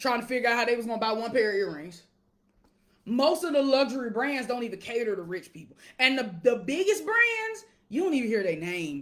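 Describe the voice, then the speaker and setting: In an animated tone, a woman talks fairly quickly in a high pitch, with very wide pitch swings and big swings in loudness. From Alabama, US South. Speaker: wealth coach. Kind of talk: casual livestream monologue. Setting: live video stream.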